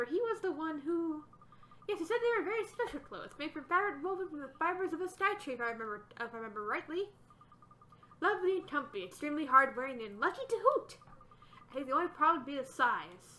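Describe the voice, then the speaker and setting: Putting on a character voice, a woman talks at a very fast pace with an extremely high pitch. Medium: game stream. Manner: hooting, doting.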